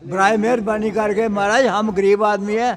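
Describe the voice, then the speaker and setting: Against noticeable background noise, a man speaks at a high pitch in a monotone, flat way. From Pakistan-administered Kashmir. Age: 80s+. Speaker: pensioner at protest. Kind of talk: street interview.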